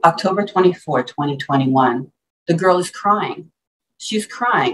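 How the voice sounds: Lively intonation marks a natural reading voice heard over a quiet background.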